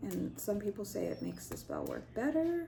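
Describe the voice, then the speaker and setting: A woman's voice with audible room echo. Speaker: spiritual practitioner and video host. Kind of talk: tutorial. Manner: casual, hesitant with fillers.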